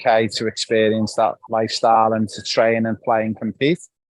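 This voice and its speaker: This voice carries a Liverpool accent. The sound is dry and close, with no echo. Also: man. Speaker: football academy host. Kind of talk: live interview. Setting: live video call from Barcelona.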